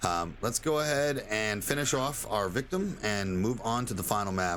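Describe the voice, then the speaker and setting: Fairly low in pitch, a man speaks at a moderate pace. His pitch swings very widely. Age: 30s. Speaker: gaming streamer. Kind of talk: gameplay tutorial. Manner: casual, filler-heavy. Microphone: new microphone.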